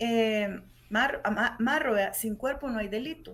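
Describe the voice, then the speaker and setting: A fairly high-pitched woman with a Salvadoran accent. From El Salvador. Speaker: human rights lawyer. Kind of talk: radio interview. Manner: animated.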